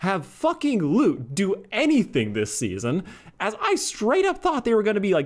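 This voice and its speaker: A man mumbles at a moderate pace, his pitch swinging very widely, on a very clean recording with a silent background. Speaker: YouTube reviewer. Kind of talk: casual video review. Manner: mumbling; chatty.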